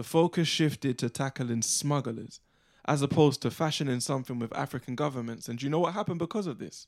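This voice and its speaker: A man with a fairly high pitch at a very fast pace, ordinary pitch variation, a dry, close sound with no echo, and a very clean recording with a silent background. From England, Ugandan family. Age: young. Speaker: spoken word artist. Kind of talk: spoken word performance. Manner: rhythmic.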